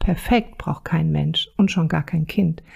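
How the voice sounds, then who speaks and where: A dark, mellow tone marks this voice. There is a somewhat breathy quality to it. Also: woman. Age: 50s. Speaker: parenting counselor and podcast host. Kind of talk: solo podcast monologue. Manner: casual, chatty.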